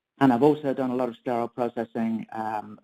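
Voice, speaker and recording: A man with an English accent, dark, mellow tone, and dry, close sound with no echo. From England. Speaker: perioperative nursing consultant. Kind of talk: webinar presentation. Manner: hesitant, many fillers.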